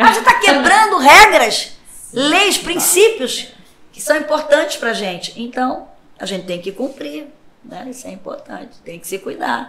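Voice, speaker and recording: A woman with a raised, projected voice and high pitch speaks at a fairly slow pace, her pitch swinging very widely and her loudness shifting in big swings, amid audible room echo and noticeable background noise. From Rio de Janeiro, Brazil. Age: 60s. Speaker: pastor. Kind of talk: podcast interview. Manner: conversational.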